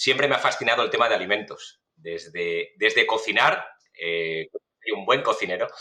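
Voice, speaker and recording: In a Spanish accent, a man talks at a moderate pace. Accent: Spanish from Spain. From Spain, Valencia. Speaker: food safety researcher, professor. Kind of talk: podcast interview. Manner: hesitant, many fillers.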